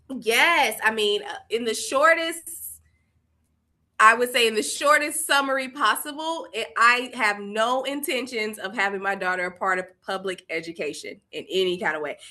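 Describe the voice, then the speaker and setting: With a Southern US accent, a woman talks at a moderate pace in a fairly high, bright, sharp voice that makes very wide pitch swings. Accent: Southern US (Georgia). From US South, Columbus, Georgia. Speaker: education founder. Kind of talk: casual interview.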